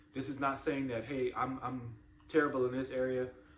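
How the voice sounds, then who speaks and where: Noticeable background noise accompanies a man who speaks at a medium pitch and a fairly quick pace. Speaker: parenting channel host. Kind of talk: motivational talk to camera. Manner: repetitive, halting.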